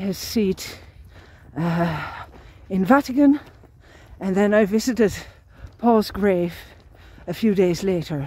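A woman's voice with ordinary pitch variation and a dry sound with no echo. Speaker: long-distance pilgrim vlogger. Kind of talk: casual vlog chat. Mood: reflective, grateful. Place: open country. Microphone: phone near.

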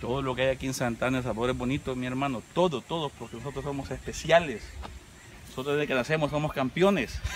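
A man talks at a very fast pace over light background noise. The sound is dry, with no echo. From El Salvador. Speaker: YouTube vlogger. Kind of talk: casual vlog narration. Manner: animated. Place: garden. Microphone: camera far.

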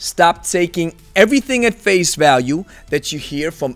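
Faint music plays in the background behind a man's voice. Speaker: kettlebell coach. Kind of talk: commentary. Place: home room. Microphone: studio mic.

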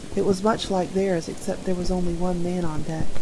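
Over noticeable background noise, a woman talks at a moderate pace in a medium pitch with a calm, gentle tone. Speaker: audiobook narrator. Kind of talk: story read-aloud. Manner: calm, gentle storytelling pace.

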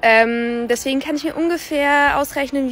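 With music in the background, a woman speaks at a moderate pace in a dry sound with no echo. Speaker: dubbing voice actress. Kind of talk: casual talk to camera. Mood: cheerful, enthusiastic. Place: street. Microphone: phone near.

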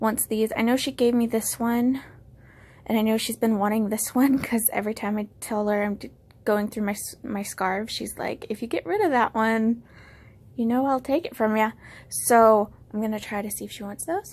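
Somewhat breathy, a woman speaks at a moderate pace with fairly even intonation. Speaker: vlogger showing her declutter. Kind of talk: casual vlog chat. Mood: relaxed, pleased. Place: home room. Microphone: phone near.

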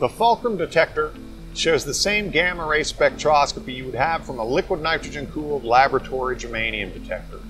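The speech moves at a fairly quick pace. Clear music plays in the background. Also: man. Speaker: presenter. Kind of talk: product demonstration. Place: workshop.

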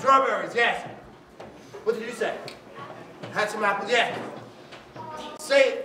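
Raising and projecting his voice at an extremely high pitch, a man speaks at a fairly slow pace with fairly even intonation and long, frequent pauses over noticeable background noise. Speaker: storyteller. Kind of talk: storytelling with audience participation. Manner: exuberant. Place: hall.

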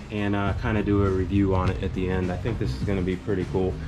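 A man is speaking. Music plays in the background. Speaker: car hobby vlogger. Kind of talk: casual vlog chat. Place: garage. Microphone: phone near.

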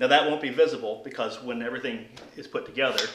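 A man's voice against noticeable background noise. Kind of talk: tutorial. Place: garage. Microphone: camera far.

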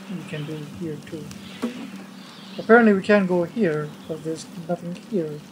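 Over noticeable background noise, a woman speaks at a fairly slow pace with a non-native accent. Her pitch is fairly low and her intonation lively. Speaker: gamer doing let's play commentary. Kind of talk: casual gameplay commentary. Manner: sometimes mumbles, drops volume.

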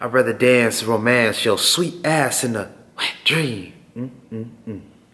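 The speaker is a man. His intonation is fairly flat and even. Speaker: spoken-word poet. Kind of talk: spoken-word poetry performance. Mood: intimate, sensual, intense. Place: studio. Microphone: handheld.

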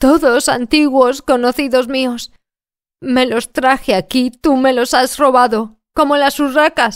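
On a very clean recording with a silent background, a woman speaks very slowly in a high voice with fairly even intonation. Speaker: audiobook narrator. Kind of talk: audiobook reading.

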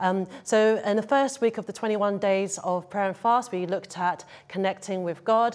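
A woman talks with ordinary pitch variation. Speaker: church leader hosting an online service. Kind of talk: church talk introduction. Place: stage.

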